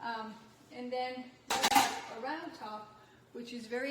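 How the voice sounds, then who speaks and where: A woman with a French accent and a high voice at a fairly slow pace, in fairly even intonation, with noticeable background noise and audible room echo. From France. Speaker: nutrition health coach. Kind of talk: product demonstration.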